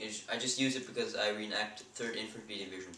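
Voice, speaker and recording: Noticeable background noise surrounds a man speaking in a Swiss accent with ordinary pitch variation. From Switzerland. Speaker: airsoft hobbyist. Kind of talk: casual gear review to camera. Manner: hesitant, many fillers.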